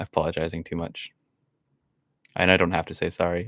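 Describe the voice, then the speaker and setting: The voice is quiet. The sound is dry and close, with no echo. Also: man. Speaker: streamer. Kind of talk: live gameplay commentary. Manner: stutters, repeats words; frequent silences, quiet stretches.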